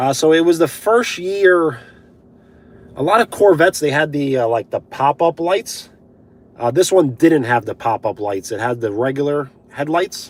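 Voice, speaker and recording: The man's intonation is lively. He keeps to a fairly slow pace. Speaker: live streamer. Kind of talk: live stream chat reading comments. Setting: live stream on mobile data.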